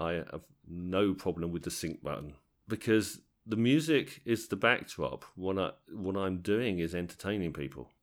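Speaking at a moderate pace, a man uses a southern English accent. His pitch is very deep and low, and his intonation is lively. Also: very clean recording, silent background. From southern England, Tadley area (Hampshire/Berkshire border). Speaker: wedding DJ and DJ trainer. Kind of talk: interview. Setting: at a convention. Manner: halting, repeats words.

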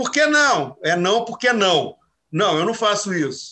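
A man speaks at a fairly slow pace in a raised, projected voice with a bright, sharp tone. His pitch makes very wide swings. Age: 60s. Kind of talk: casual chat.

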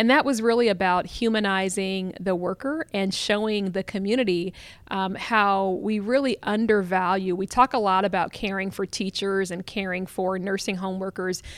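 In an American accent, a woman with an unremarkable speaking voice talks at a moderate pace and medium pitch, with fairly even intonation and hardly any pauses, on a very clean recording with a silent background. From Columbus, Ohio. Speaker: communications director and author. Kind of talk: interview. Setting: conference venue.

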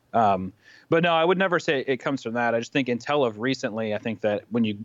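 A man with an American accent talks at a fairly quick pace against a quiet background. His pitch is medium and its variation is ordinary. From US Midwest, Kansas City, Missouri. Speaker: animator and YouTuber. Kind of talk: casual interview.

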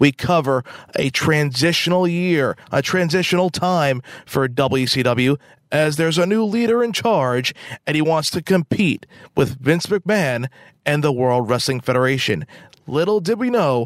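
An ordinary speaking voice goes at a fairly slow pace with lively intonation and very even loudness, sounding dry and close with no echo. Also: man. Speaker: podcast host and ring announcer. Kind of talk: scripted podcast intro and outro. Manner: announcer-style, formal, polished.

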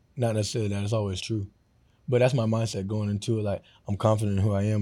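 Delivered at a very fast pace in an American accent, the voice has a dark, mellow tone. Its intonation is monotone and flat. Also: man. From Florida. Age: 20s. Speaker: professional football player. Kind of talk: casual interview. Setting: studio.

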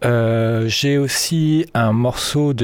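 This man's medium-pitched voice shows ordinary pitch variation. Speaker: radio DJ. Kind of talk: radio DJ patter over a techno/house mix, casual and relaxed. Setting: radio studio, broadcast on FM. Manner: relaxed, conversational, laid-back; halting, with many fillers (euh) and repeated words.

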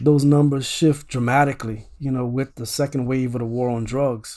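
A man talks at a fairly quick pace with a dark, mellow tone. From Louisiana (Opelousas, Acadiana). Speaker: political science professor. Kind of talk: interview conversation.

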